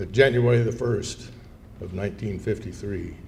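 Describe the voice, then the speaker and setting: A man speaks at a moderate pace with fairly even intonation. Room echo is audible. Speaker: war veteran. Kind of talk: speech. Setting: luncheon event with audience. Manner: conversational.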